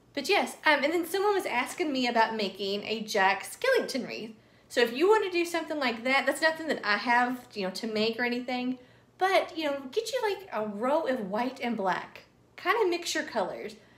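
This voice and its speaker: A woman with a Southern US accent talks at a moderate pace, her high pitch making very wide swings. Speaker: craft youtuber. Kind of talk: tutorial. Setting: at home. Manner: casual, filler-heavy.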